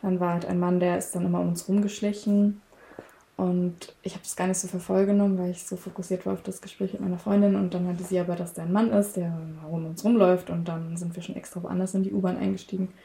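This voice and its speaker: A woman speaks at a very fast pace in a medium pitch. Her intonation is monotone and flat. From Saxony, Germany. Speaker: interviewee. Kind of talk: personal testimony. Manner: halting.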